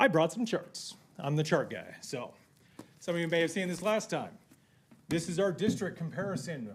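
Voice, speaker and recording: A man speaks at a high pitch. His pace is fairly quick. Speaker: public commenter at school board meeting. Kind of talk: public comment speech. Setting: meeting room. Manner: animated; loud.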